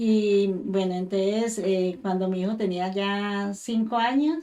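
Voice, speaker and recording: The voice has a dark, mellow tone and ordinary pitch variation, and the words come at a very slow pace. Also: woman, medium pitch for a woman. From Colombia, Tuluá, Valle del Cauca (near Cali). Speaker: mother giving church testimony. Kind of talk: testimony.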